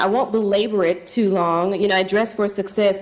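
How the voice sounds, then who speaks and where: In an American accent, a woman speaks against noticeable background noise. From US South, Tennessee. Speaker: charity leader hosting event. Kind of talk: welcome speech.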